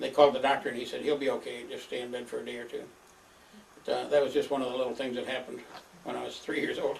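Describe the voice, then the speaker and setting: A man talks at a very fast pace in a Midwestern American accent. Noticeable background noise runs behind him. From northern Michigan. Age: 80s+. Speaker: elderly father recording family history. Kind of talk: oral history monologue. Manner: halting, many filler words.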